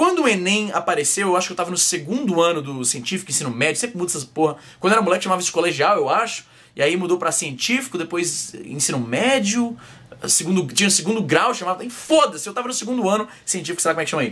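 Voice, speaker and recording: A man at a very fast pace, high-pitched, with lively intonation. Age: 20s. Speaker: vlogger. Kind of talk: casual vlog monologue. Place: home room. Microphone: webcam.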